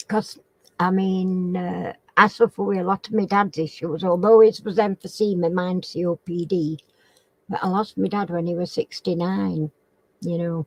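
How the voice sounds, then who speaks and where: Heard in a dry, close sound with no echo, a woman speaks with a northern English accent. Her pitch is fairly low, her intonation fairly even and her pace moderate. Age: 70s. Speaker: crafting channel host. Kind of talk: casual chat. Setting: live stream chat. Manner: halting.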